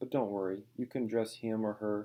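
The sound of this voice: Intonation here is fairly even. The delivery is an unforced reading voice.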